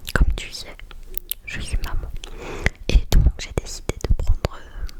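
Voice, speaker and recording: A woman's whisper, very slow, with big swings in loudness and noticeable background noise. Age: 20s. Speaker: ASMR creator. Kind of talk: ASMR video. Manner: soft-spoken.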